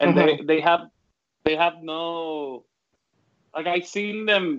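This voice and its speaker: A man with a strong Puerto Rican accent at a moderate pace. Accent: thick Puerto Rican (Caribbean Spanish). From Puerto Rico. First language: Spanish. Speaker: design professor. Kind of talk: panel discussion. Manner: talkative, animated.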